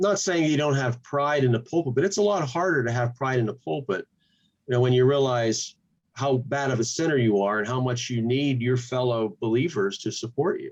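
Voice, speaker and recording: In an ordinary speaking voice, a man talks at a fairly quick pace with lively intonation and a medium pitch. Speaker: pastor and channel host. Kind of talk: interview.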